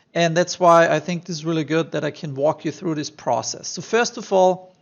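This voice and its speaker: Pitched high, a man's voice keeps fairly even intonation. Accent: strong German. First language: German. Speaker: online marketing tutor. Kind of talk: screen-share tutorial. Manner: casual, many fillers.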